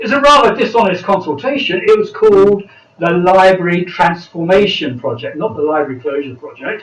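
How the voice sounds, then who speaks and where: The speaker has a British accent and talks at a fairly quick pace. Noticeable background noise runs underneath. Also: man. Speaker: political party speaker. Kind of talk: panel speech.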